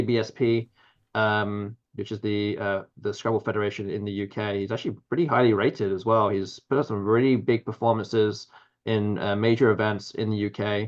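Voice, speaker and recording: A man speaks with an English accent. His pitch is fairly low. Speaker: Scrabble commentator. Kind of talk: live commentary. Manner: halting.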